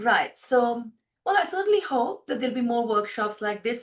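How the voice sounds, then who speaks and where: A woman with an Indian accent speaks with lively intonation. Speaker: filmmaker. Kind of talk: interview.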